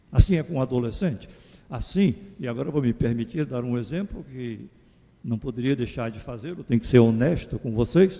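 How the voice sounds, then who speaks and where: A dark, mellow tone carries speech delivered at a moderate pace. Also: man. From Pernambuco, Brazil (Garanhuns). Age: 70s. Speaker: psychologist giving a lecture. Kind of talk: lecture. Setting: church. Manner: conversational, informal.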